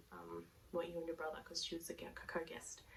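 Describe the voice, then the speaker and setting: Over noticeable background noise, a woman with an Australian accent speaks quietly at a very fast pace. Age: 30s. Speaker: knitting podcaster. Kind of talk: casual talk to camera. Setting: headphone mic at home.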